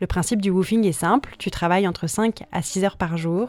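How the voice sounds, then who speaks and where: Speaking at a moderate pace, a woman with an ordinary speaking voice uses a fairly low pitch and ordinary pitch variation. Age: 20s. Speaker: podcast host. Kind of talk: scripted narration.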